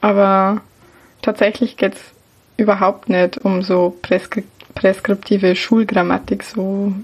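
In a Bavarian accent, a woman speaks at a medium pitch and a very slow pace. Her intonation is monotone and flat. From Lower Bavaria, Germany. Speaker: baking blogger and podcaster. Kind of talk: casual chat.

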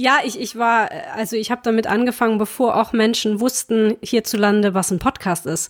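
A woman's fairly high voice at a fairly quick pace, on a very clean recording with a silent background and a dry, close sound with no echo. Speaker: podcast host and performing artist. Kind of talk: casual chat.

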